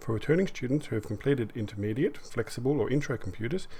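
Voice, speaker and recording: A man's somewhat breathy voice, dark and mellow in tone, moves along at a fairly quick pace. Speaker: computer course teacher. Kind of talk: online class lecture.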